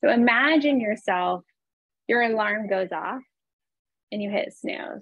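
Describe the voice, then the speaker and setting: In a dry, echo-free recording with a quiet background, a woman speaks at a fairly slow pace. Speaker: real estate agent and coach; presenter, real estate coach. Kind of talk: calm guided visualization, eyes-closed breathing exercise led over video call. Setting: video call. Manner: warm, chatty, encouraging. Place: home room. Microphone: webcam.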